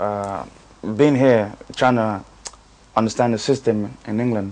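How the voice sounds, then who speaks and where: Noticeable background noise runs behind this man's fairly low voice. He speaks at a fairly slow pace with ordinary pitch variation. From Nigeria, then North London from about age ten. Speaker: singer. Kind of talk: interview. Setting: in Dublin. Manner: halting, many fillers.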